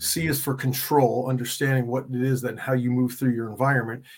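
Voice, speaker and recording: This man has a plain, everyday voice at medium pitch and talks at a fairly quick pace. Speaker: coach and author. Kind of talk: casual interview chat.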